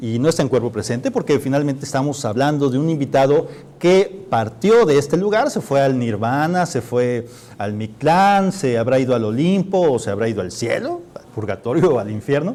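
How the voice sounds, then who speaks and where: Speaking with a normal speaking voice at a moderate pace, a man uses lively intonation at a fairly high pitch. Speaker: TV show host. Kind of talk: live TV political humor show hosting.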